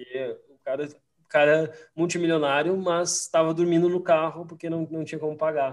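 The pace is moderate. Intonation stays fairly even throughout. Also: man. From Rio Grande do Sul, Brazil (Farroupilha). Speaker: investment strategist. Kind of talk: casual interview chat. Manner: halting, repeats words.

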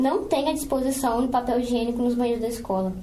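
A woman speaks in a high pitch with fairly even intonation. There is noticeable background noise and audible room echo. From Brazil, Espírito Santo (Cariacica). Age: 20s. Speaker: student podcast co-host, teacher and ballet dancer. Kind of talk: casual chat with scripted reading.

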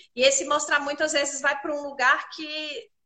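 A woman talks at a moderate pace in a raised, projected voice. Her tone is bright and sharp. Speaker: image consultant hosting a live chat. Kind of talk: live online chat. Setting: live stream.

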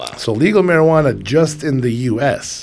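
A man talks with a plain, everyday voice. His pace is fairly slow. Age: 40s. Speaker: cannabis podcast co-host. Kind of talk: casual chat. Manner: relaxed, many fillers.

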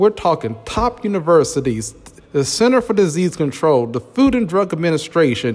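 Over music in the background, a man talks with an animated tone at a high pitch, very wide pitch swings and a moderate pace. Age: 40s. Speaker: podcast host. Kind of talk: solo monologue.

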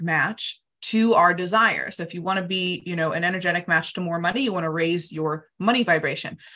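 With an American accent, a woman of medium pitch talks at a fairly quick pace in an upbeat, animated tone that is bright and sharp. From United States. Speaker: money coach. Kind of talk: interview, coaching explanation.

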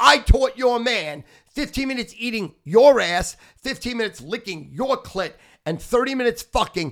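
At a moderate pace, a man with an extremely high pitch speaks in an animated tone with lively intonation. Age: 60s. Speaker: podcast host and sports gambler. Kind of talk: casual chat.

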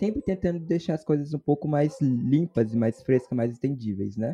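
Dry and close with no echo, this voice has a dark, mellow tone. It moves at a fairly quick pace with ordinary pitch variation. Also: man. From Brazil, Espírito Santo. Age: 20s. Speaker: university student podcast host. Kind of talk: casual chat.

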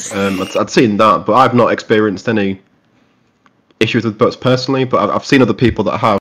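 A man with an English accent at medium pitch, very fast, with fairly even intonation. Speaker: podcast co-host. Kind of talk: casual chat.

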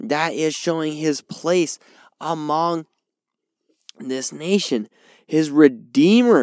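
Very slow speech from a man with a fairly high pitch on a very clean recording with a silent background. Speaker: podcast host and Bible teacher. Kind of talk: sermon-style Bible teaching. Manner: informal, conversational.

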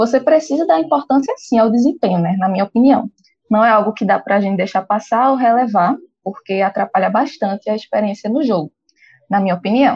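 Speaking at a fairly quick pace, a woman with a somewhat breathy, fairly high voice uses lively intonation. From Brazil, Pernambuco (Recife). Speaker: podcast co-host, gamer. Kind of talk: casual chat.

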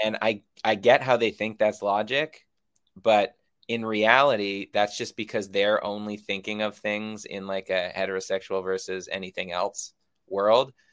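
An unremarkable speaking voice with an American accent, a man with a fairly low pitch talks at a moderate pace with fairly even intonation in a very clean recording with a silent background. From United States. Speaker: film director. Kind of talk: interview.

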